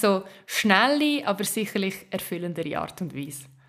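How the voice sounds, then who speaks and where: This is an ordinary speaking voice from a woman at medium pitch. She talks at a moderate pace. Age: 30s. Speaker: advertising and social media expert. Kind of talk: interview.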